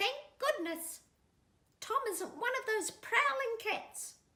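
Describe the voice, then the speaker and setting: A woman puts on a squeaky character voice pitched extremely high. She talks at a fairly slow pace with very wide swings in pitch. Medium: read story. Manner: fussy, prim.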